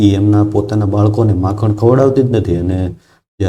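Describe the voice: Plain reading aloud against a quiet background.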